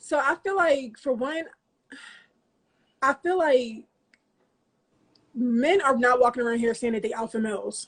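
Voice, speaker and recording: A woman at a high pitch, animated in tone, with lively intonation, a fairly slow pace, and long, frequent pauses. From US Northeast, Philadelphia (North Philly). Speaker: interview guest, businesswoman and mother. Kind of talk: interview. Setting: studio couch.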